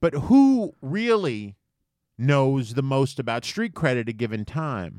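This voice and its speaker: A man with an American accent at a very slow pace, medium in pitch, with lively intonation. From US Virgin Islands (St. Thomas), then New York. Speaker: comedy podcast co-host. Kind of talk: casual chat. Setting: studio.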